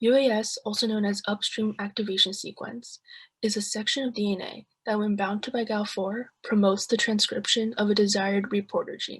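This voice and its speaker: A woman with an American accent talks at a fairly quick pace, her fairly high, somewhat breathy voice monotone and flat. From US Midwest, Ohio. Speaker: student. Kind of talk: class presentation.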